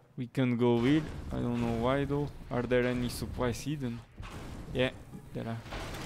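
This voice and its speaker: At a moderate pace, the speaker talks in a monotone, flat intonation, with long, frequent pauses and noticeable background noise. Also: man, medium pitch for a man. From Portugal. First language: Portuguese. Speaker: gaming streamer. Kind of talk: live gameplay commentary. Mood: casual, mildly surprised.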